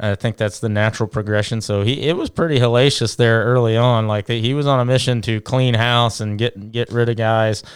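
An ordinary speaking voice from a man with an American accent, at medium pitch and fairly even intonation, talking at a fairly quick pace with hardly any pauses. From Louisiana and Indiana. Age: 30s. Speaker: high school baseball coach. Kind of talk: casual interview chat.

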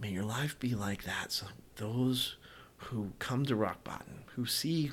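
A man speaks with an American accent. The pitch varies in an ordinary way. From US South. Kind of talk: solo podcast monologue; devotional exhortation. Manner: halting, many fillers.

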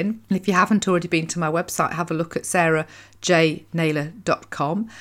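A woman with a British accent and fairly low pitch. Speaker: podcast host and happiness coach. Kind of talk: solo monologue podcast episode. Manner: fast talker, excitable.

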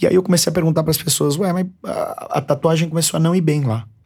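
A man speaks at a very fast pace in a São Paulo accent, his voice somewhat breathy. The recording is very clean, with a silent background. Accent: São Paulo Brazilian Portuguese. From São Paulo, Brazil. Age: 30s. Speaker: barbershop owner and brand entrepreneur. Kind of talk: interview. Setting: studio.

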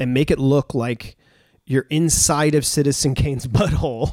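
At a moderate pace, a man speaks with a fairly high pitch and an ordinary speaking voice. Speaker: podcast host. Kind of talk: casual chat. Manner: rambling, informal.

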